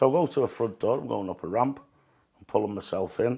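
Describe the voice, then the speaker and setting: Speaking at a very fast pace, a man with a northern English accent has a dark, mellow tone, captured in a very clean recording with a silent background. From northern England. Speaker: sepsis survivor and amputee. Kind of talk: interview testimony. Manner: halting.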